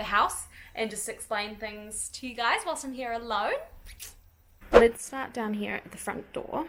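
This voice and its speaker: A woman with a New Zealand accent and fairly even intonation. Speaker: lifestyle vlogger, mother. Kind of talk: casual vlog, house tour. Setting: at home. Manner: casual, chatty.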